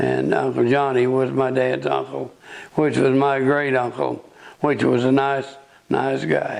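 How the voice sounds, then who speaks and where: In an Ozark accent, a man talks at a fairly slow pace over noticeable background noise. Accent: rural Ozark Southern US. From US South, northwest Arkansas. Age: 80s+. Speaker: local elder sharing memories. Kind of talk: oral history interview.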